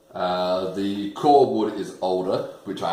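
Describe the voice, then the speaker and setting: A man speaks at a very deep, low pitch with an Australian accent. There is audible room echo and noticeable background noise. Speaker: bass builder and video maker. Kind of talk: unboxing tutorial. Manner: animated.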